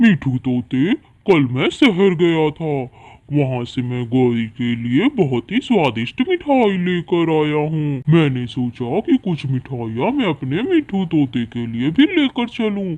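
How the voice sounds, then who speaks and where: A man puts on a cartoonish character voice at a fairly high pitch. He keeps it at a fairly slow pace. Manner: boastful.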